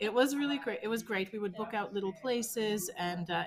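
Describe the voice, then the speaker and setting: A fairly high-pitched woman at a fairly quick pace, with ordinary pitch variation. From Newfoundland and Labrador, Canada. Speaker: art studio founder and former chef. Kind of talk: casual interview.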